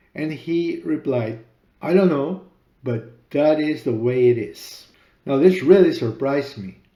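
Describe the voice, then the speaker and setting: A man with a Spanish accent at a fairly slow pace, fairly high in pitch, with a dark, mellow tone and ordinary pitch variation. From Peru. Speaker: author and podcaster. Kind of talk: personal story narration.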